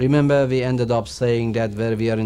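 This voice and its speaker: Through audible room echo, a man speaks at a medium pitch and a moderate pace. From Iran. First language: Persian. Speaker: religious teacher. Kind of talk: lecture.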